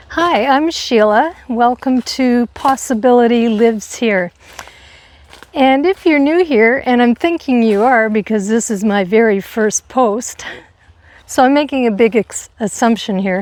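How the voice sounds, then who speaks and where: With very even loudness and ordinary pitch variation, a woman of high pitch speaks at a fairly slow pace over noticeable background noise. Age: 60s. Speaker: lifestyle vlogger on aging. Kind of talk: casual monologue to camera. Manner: conversational with frequent fillers.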